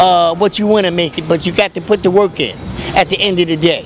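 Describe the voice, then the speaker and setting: A man with fairly even intonation, a dry sound with no echo, and noticeable background noise. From New York. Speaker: community activist and street bookseller; street bookseller. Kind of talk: casual street talk. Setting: outdoors on a street. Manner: halting, many fillers. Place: street. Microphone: handheld.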